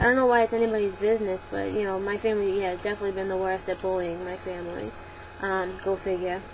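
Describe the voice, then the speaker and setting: A woman with a Boston accent, very fast and monotone with flat intonation, at medium pitch amid noticeable background noise. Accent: Boston accent, non-rhotic. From Boston, Massachusetts. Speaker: vlogger. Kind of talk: Q&A vlog. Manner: casual, many fillers.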